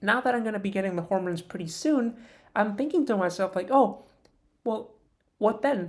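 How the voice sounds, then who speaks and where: A woman speaks at a fairly quick pace, fairly high in pitch, with lively intonation. Her pauses are long and frequent. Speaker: vlogger. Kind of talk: personal vlog monologue. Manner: halting; trained higher-pitched voice.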